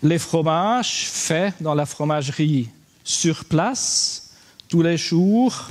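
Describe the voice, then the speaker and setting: A man with a high voice and a Swiss German accent speaks very slowly with lively intonation. His loudness stays very even over noticeable background noise. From German-speaking Switzerland. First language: Swiss German (speaking French). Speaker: livestock farmer, conference speaker. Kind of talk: conference talk. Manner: halting.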